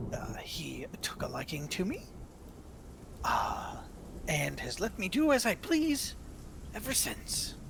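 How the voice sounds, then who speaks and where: A man whispers in a put-on character voice with a playful tone. He goes at a fairly slow pace, with long, frequent pauses. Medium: actual play. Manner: giggling, playful menace.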